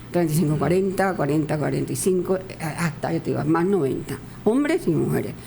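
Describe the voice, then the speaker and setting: Noticeable background noise and audible room echo surround the recording. A woman speaks at a moderate pace. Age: 80s+. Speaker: masters athlete. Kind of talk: radio interview.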